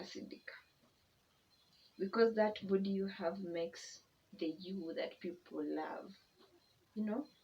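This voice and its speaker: Speech comes out very slowly. There is a somewhat breathy quality to it. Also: woman. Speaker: YouTuber. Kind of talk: personal testimony vlog. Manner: casual, conversational.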